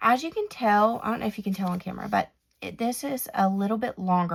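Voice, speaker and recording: With ordinary pitch variation around a medium pitch, a woman talks in a somewhat breathy voice. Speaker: planner and stationery YouTuber. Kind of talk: product flip-through tutorial. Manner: casual, halting with fillers.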